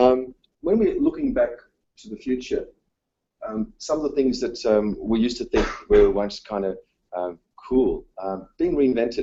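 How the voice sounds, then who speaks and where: Someone with an Australian accent speaks at a fairly slow pace, with long, frequent pauses and big swings in loudness. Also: man. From Australia, south-east Melbourne. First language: Dutch. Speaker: teacher. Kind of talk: conference presentation. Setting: conference session, live-streamed. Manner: hesitant, many fillers.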